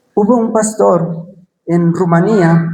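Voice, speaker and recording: Audible room echo surrounds a man's voice. His pitch is high, with a dark, mellow tone. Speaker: preacher. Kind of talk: sermon.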